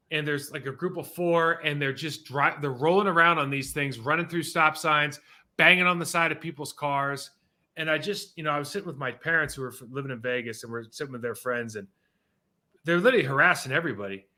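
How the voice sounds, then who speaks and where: Talking at a very fast pace with an American accent, a man uses a bright, sharp tone that is fairly high in pitch, animated, and full of big swings in loudness. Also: ordinary pitch variation, very clean recording, silent background. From California. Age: 40s. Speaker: sports podcast host. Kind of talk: casual chat.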